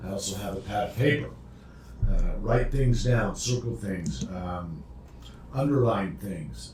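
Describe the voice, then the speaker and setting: A man's fairly low voice at a fairly slow pace, with very wide pitch swings, long, frequent pauses and audible room echo. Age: 60s. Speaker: addiction recovery podcast co-host. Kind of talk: casual instructional chat. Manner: halting, repeated words.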